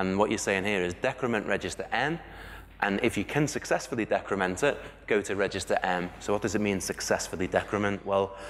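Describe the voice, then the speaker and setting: A man with a British accent speaks at a fairly quick pace in a fairly low pitch, with ordinary pitch variation. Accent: regional UK. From UK. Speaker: conference speaker, software developer. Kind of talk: conference talk. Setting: stage with audience. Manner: fast when excited.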